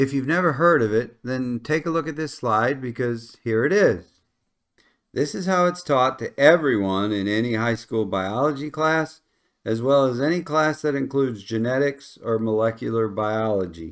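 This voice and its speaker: Lively intonation and a Midwestern accent come at a moderate pace. The recording is very clean, with a silent background. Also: man, medium pitch for a man. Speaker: science educator. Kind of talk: lecture. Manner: conversational.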